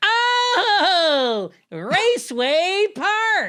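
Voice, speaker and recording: Shouting in a put-on character voice, the speaker hits an extremely high pitch with very wide pitch swings. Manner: screaming.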